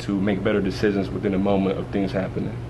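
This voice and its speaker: Amid noticeable background noise and audible room echo, a man talks very fast at a fairly low pitch. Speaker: community program director and anger management coach. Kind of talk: interview. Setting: stage at TV show event. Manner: halting.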